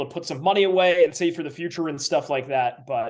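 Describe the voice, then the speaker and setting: Speaking at a fairly quick pace, a man with a fairly high pitch and ordinary pitch variation has an unremarkable speaking voice against a quiet background. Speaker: public address announcer and sports broadcaster. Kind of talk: interview answer. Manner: conversational, thoughtful, some filler words.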